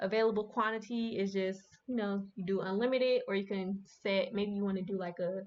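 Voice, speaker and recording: A woman uses an ordinary speaking voice at medium pitch with fairly even intonation. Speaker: streamer teaching a class. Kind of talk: livestream tutorial. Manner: casual, filler-heavy.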